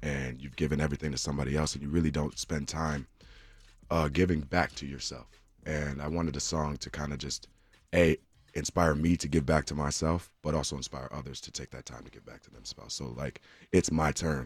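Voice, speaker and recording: A man's very deep, low voice with vocal fry and an American accent, fairly even intonation and a fairly quick pace. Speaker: singer. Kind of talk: radio interview; station ID and song intro. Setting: radio studio.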